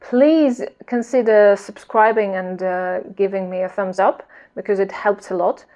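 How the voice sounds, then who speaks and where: Speaking at a fairly slow pace with a non-native accent, a woman uses a medium pitch, ordinary pitch variation, and a dark, mellow tone. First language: not English. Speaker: knitting vlogger. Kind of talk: casual vlog chat. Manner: hesitant, with fillers and repetitions.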